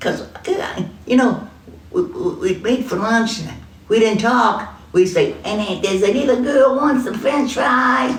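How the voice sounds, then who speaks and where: Lively intonation colors a woman's high voice as she speaks at a fairly slow pace. Audible room echo and noticeable background noise fill the recording. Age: old. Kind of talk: casual chat.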